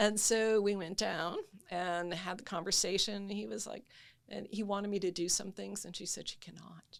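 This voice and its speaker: At a medium pitch, a woman speaks with vocal fry and a moderate pace. Her loudness swings widely. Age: 70s. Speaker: patient sharing illness journey. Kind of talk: testimony.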